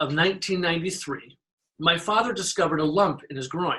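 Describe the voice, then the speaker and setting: A man speaks high in pitch with a bright, sharp tone. His pace is fairly quick. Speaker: storyteller. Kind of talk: live personal storytelling, first-person memoir.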